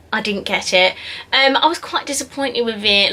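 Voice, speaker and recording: A woman talks over noticeable background noise, keeping a moderate pace and ordinary pitch variation. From south-east England, Essex. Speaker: beauty YouTuber. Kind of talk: casual Q&A vlog.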